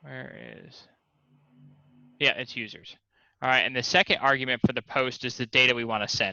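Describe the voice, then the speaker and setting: Over music in the background, a man at medium pitch talks at a fairly quick pace with ordinary pitch variation, big swings in loudness, and long, frequent pauses. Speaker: coding instructor. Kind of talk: tutorial.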